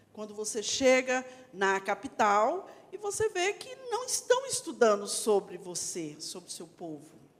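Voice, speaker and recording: A woman talks at a fairly slow pace, her loudness swinging widely. Noticeable background noise sits behind her. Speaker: actress and teacher. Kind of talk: panel discussion.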